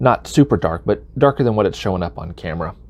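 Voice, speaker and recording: With a Southern US accent, a man talks at a fairly quick pace, his voice showing vocal fry. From US South. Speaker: knitting video creator. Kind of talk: tutorial. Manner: casual with frequent fillers.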